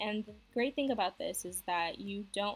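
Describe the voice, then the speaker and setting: A woman speaks quietly at a moderate pace. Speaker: beauty vlogger. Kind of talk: makeup tutorial talk to camera. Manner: quiet, low volume.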